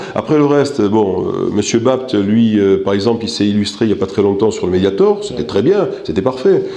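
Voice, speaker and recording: Fairly low in pitch, a man speaks at a fairly quick pace. Noticeable background noise and audible room echo are present. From North Africa. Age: 60s. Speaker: political candidate. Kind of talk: interview. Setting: office. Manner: hesitant, many fillers.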